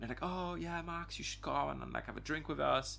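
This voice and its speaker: The speaker talks at a fairly quick pace with a French accent. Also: man. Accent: French accent, noticeable. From France, Auvergne region. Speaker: dive instructor and dive medic. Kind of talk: casual interview chat. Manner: halting, many fillers and restarts.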